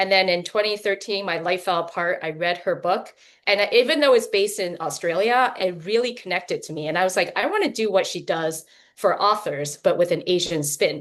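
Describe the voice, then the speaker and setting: Talking at a fairly quick pace, a woman uses an ordinary speaking voice at a medium pitch with ordinary pitch variation. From Taiwan, moved to US as child. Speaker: novelist. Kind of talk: casual panel chat.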